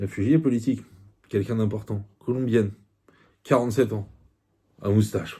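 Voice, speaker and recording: A man with a Parisian accent speaks at a moderate pace with long, frequent pauses and fairly even intonation. His fairly low voice is somewhat breathy and has a dark, mellow tone. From France, Paris. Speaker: YouTuber book reviewer. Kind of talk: book review monologue. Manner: hesitant, many fillers.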